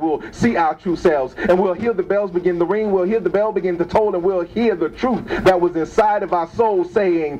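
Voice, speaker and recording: With music in the background, a man speaks in a high pitch with ordinary pitch variation. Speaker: spoken word poet. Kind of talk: improvised spoken word poetry performance. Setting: open mic event, live venue. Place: shop.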